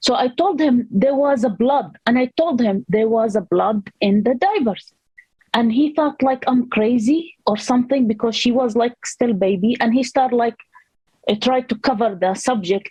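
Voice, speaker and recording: Recorded with a dry, close sound and no echo, the speaker has a non-native accent, a moderate pace, lively intonation and very even loudness. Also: woman. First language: not English. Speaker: panelist, immigrant mother. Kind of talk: personal testimony on panel. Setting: panel event.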